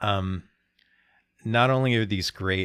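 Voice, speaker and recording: The man's very deep, low voice is captured in a very clean recording over a silent background. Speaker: podcast host. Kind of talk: casual chat.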